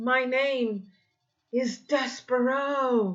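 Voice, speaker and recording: A female-sounding voice performs a put-on character. The pitch is high for a woman. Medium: read story. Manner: earnest, gallant.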